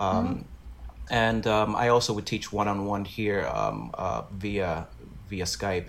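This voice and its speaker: This man's voice sits at a fairly low pitch with fairly even intonation. He speaks at a very slow pace. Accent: New York. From Brooklyn, New York. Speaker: Broadway actor. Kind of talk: casual interview.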